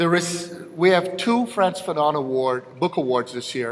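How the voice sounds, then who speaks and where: A high-pitched male voice with lively intonation at a moderate pace, set against noticeable background noise. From Jamaica. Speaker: awards presenter, philosopher. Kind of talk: award ceremony presentation.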